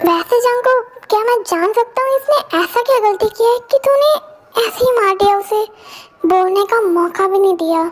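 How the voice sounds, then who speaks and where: A woman puts on a character voice with an extremely high pitch. She speaks at a moderate pace with very even loudness. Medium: audio drama. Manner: rash, aggressive.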